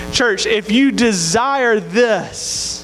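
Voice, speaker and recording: A man with a Southern US accent and ordinary pitch variation is heard with audible room echo and noticeable background noise. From Mississippi, US South. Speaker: campus minister. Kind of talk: sermon.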